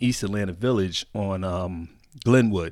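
On a very clean recording with a silent background, a man with an unremarkable speaking voice talks at a moderate pace with an American accent and ordinary pitch variation. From Connecticut, US. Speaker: club DJ. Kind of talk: casual interview chat.

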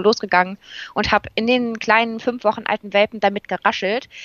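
Intonation stays fairly even as a woman talks in a normal speaking voice at a medium pitch. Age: 20s. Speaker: occupational therapy trainee with therapy dog. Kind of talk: interview.

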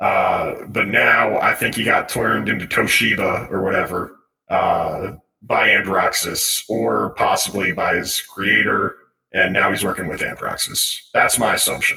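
A raspy put-on character voice from a man, at a moderate pace. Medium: actual play. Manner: matter-of-fact, explanatory.

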